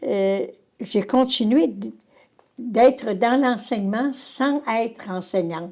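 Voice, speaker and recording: Speaking very slowly, a woman with a Quebec accent uses lively intonation. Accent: rural Quebec French. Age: 80s+. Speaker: retired teacher. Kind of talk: interview. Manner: halting.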